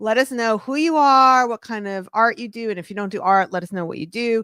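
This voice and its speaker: Someone with a New York accent talks at a fairly quick pace in an animated tone. The sound is dry and close with no echo, in a very clean recording with a silent background. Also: woman. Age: 50s. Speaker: podcast host and art business author. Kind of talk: casual chat on livestream. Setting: livestream.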